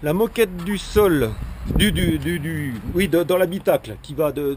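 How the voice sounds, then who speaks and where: Noticeable background noise sits behind this man's voice. He has a fairly high pitch with ordinary pitch variation. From Haut-Doubs, France. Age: 50s. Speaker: amateur car tuner. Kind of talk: casual car walkaround presentation to camera. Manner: casual, hesitant, repeats 'voilà' often.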